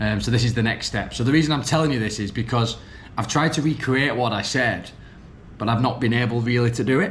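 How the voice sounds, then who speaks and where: Very fast speech with a northern English accent, ordinary pitch variation and audible room echo. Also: man. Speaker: vlogger and business coach. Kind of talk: vlog monologue. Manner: hesitant, many ums and restarts.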